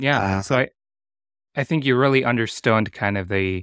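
A man speaks at a moderate pace with a fairly low pitch and a bright, sharp tone, recorded very cleanly against a silent background with a dry, close sound and no echo. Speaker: podcast host. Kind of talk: casual interview chat.

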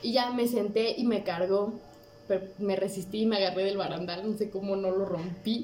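A woman of medium pitch talks with ordinary pitch variation. There is noticeable background noise and audible room echo. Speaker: guest. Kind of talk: casual chat.

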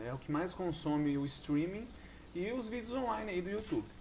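A man is speaking. His intonation is lively. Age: 20s. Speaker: podcast host. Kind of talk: solo monologue podcast. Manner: casual, halting with many fillers.

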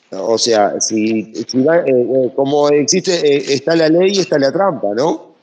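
With lively intonation and very even loudness, a fairly high-pitched man talks at a fairly slow pace with hardly any pauses. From Uruguay, Brazilian border. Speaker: audience participant. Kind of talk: question from the audience. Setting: online audio room. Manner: halting.

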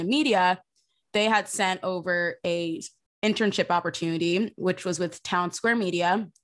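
An unremarkable speaking voice from a woman with an American accent, medium pitch and fairly even intonation, at a moderate pace over a quiet background. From South Jersey, US. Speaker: social media producer, former intern. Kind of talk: casual interview.

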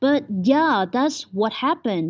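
A woman with a Vietnamese accent speaks in a high pitch with a dark, mellow tone. Her voice makes very wide pitch swings in a very clean recording with a silent background. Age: 20s. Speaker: podcaster, university student. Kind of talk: casual monologue. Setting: at home.

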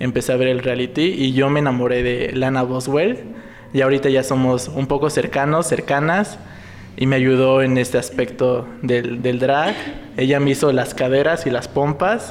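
A man's ordinary speaking voice at medium pitch, with fairly even intonation and a moderate pace. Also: very even loudness. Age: 20s. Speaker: clinical psychologist and drag performer. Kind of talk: casual chat.

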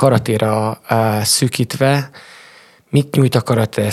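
A man with a fairly low pitch sounds somewhat breathy at a fairly slow pace, in a dry, close recording with no echo. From Transylvania, Romania (Sepsiszentgyörgy). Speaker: karate coach. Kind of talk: interview.

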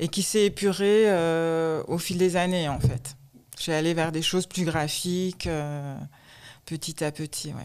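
The speech is very slow, with fairly even intonation. The recording is very clean with a silent background. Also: woman, fairly low pitch for a woman. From France, Alsace (Strasbourg). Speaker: shoe designer. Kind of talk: interview.

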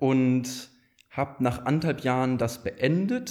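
This man has an unremarkable speaking voice. It sits at a medium pitch and shows ordinary pitch variation. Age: 20s. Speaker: startup founder and managing director. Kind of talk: casual chat.

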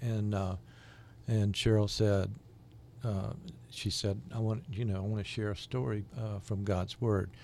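A man with a Southern US accent speaks at a fairly low pitch in a dark, mellow tone. His intonation stays fairly even, broken by long, frequent pauses. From US South, Jacksonville, Florida. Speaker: microchurch leader. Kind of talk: interview.

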